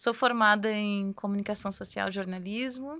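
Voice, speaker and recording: In a very clean recording with a silent background, a woman talks at a moderate pace and medium pitch with ordinary pitch variation. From southern Brazil, Cruz Alta (Rio Grande do Sul interior). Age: 40s. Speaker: university rector. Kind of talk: podcast interview.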